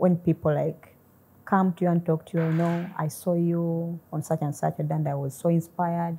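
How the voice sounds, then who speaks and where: Somewhat breathy, a woman with a fairly low pitch and a dark, mellow tone talks at a moderate pace in a flat monotone. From Uganda. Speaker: mathematician. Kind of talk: interview. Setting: studio. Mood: warm, grateful, smiling. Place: studio. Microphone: lapel.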